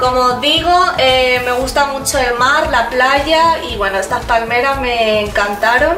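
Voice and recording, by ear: With clear music in the background, a woman speaks at a high pitch and a fairly slow pace, using ordinary pitch variation.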